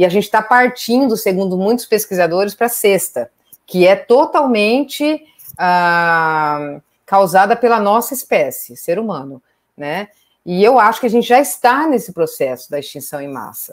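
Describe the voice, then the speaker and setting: Speaking at a moderate pace and medium pitch, a woman swings very widely in pitch and greatly in loudness. Behind her, the background is quiet. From Brazil, Pantanal region; Brazil. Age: 40s. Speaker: veterinarian and wildlife conservation researcher; biologist lecturer. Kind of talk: online lecture. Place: home room. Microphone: webcam.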